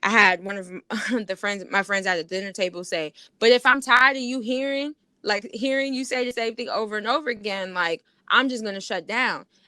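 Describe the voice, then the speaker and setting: A loud woman's voice with a fairly high pitch, a bright, sharp tone, ordinary pitch variation, a fairly quick pace and an American accent. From New York. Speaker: podcast co-host. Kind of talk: casual argument between co-hosts.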